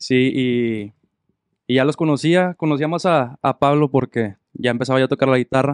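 A man speaks in an ordinary speaking voice at medium pitch, with ordinary pitch variation and a moderate pace. His loudness stays very even, and the sound is dry and close with no echo. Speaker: musician, harmony guitarist and singer. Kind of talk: casual chat. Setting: studio.

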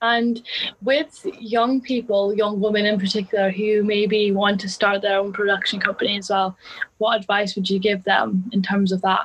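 In a plain, everyday voice, a woman speaks at medium pitch and a moderate pace with fairly even intonation. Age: 20s. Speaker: podcast co-host, film student. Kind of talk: interview.

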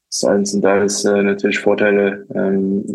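The speaker is a man. His pitch is fairly low. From Luxembourg, Portuguese family background. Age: 20s. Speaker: football assistant coach. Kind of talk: interview. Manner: hesitant, many filler sounds.

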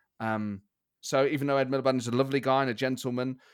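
Very fast speech in an East Midlands accent, with fairly even intonation, on a very clean recording with a silent background. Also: man. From England, Nottingham. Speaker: comedian and podcast host. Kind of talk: interview conversation.

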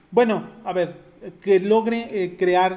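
Fairly even intonation from a male speaker, with noticeable noise in the background. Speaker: podcast co-host. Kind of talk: casual chat.

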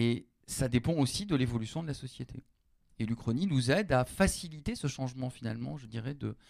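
At a fairly quick pace, a man speaks in a normal speaking voice at medium pitch with ordinary pitch variation. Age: 40s. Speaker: university lecturer and novelist. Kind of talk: public panel discussion. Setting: stage with audience.

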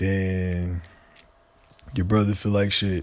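A man's fairly low-pitched voice. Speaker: solo podcaster. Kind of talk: casual monologue. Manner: rambling, halting.

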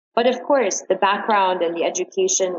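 A normal speaking voice from a woman with an American accent, medium pitch, fairly even intonation and a moderate pace. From New York. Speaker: modeling agency manager. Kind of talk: interview.

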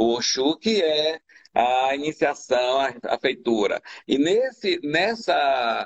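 A man speaks with very wide pitch swings. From Bahia, Brazil (Madre de Deus island, near Salvador). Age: 70s. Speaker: candomblé priest. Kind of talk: interview about religion. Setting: online live stream.

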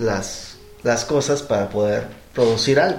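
With a Mexican accent, a man talks at a fairly slow pace with ordinary pitch variation, music in the background and audible room echo. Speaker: board game accessory maker. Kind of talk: casual chat.

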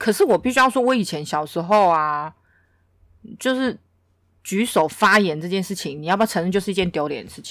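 On a very clean recording with a silent background, a woman talks fairly quickly at a medium pitch, with big swings in loudness and long, frequent pauses. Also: lively intonation. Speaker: podcast co-host. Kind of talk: casual chat.

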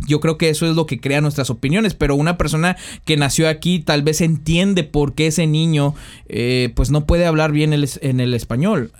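A normal speaking voice at a moderate pace. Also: man. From Mexico, San Luis Potosí. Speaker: podcast host. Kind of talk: casual chat.

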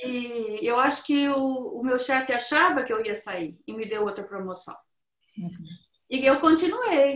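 A woman's high pitch and lively intonation at a moderate pace. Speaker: Brazilian immigrant woman sharing life story. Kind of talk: interview.

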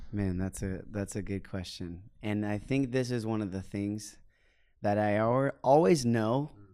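In a plain, everyday voice, a man speaks at a moderate pace with a fairly low pitch, ordinary pitch variation, and big swings in loudness, on a very clean recording with a silent background. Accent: American. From Oklahoma, US. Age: 20s. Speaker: missionary and worship leader. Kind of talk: casual podcast chat. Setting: studio recording in London.

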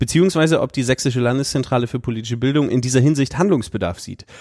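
A man talking very fast with lively intonation. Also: very clean recording, silent background. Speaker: podcast host. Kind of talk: interview. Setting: office.

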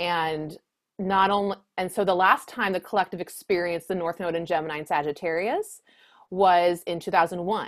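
A woman's fairly low voice at a moderate pace, with fairly even intonation, on a very clean recording with a silent background. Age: 30s. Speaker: astrologer. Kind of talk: casual chat.

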